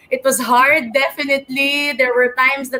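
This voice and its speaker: A woman's moderately paced speech sits on top of noticeable background noise. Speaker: beauty pageant contestant. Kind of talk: pageant interview speech.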